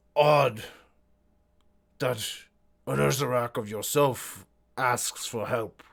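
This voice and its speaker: Using a put-on character voice at medium pitch, a man speaks very slowly with long, frequent pauses. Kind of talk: archaic, formal. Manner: acted, speaking with mouth full while chewing.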